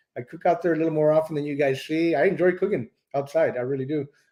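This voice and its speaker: A man with a Texan accent and a dark, mellow tone at a fairly quick pace. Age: 60s. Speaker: BBQ cooking YouTuber. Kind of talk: live stream Q&A. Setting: live stream.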